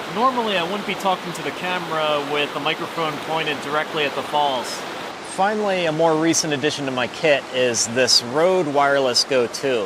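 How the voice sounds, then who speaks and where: Soft-spoken and fairly high-pitched, a man talks at a fairly quick pace with ordinary pitch variation over noticeable background noise. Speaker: travel vlogger. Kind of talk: tutorial. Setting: outdoors.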